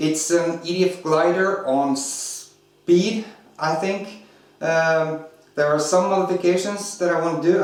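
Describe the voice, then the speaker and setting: A man with a non-native accent speaks at a high pitch with fairly even intonation, with audible room echo and noticeable background noise. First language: not English. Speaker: RC hobby video reviewer. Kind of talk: product review tutorial. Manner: hesitant, many fillers.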